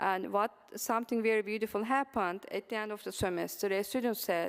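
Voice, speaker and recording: A woman with a Turkish accent speaks at a moderate pace with fairly even intonation and medium pitch. The recording is very clean, with a silent background. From Turkey. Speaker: mathematics professor. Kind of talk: conference presentation. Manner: halting, many fillers.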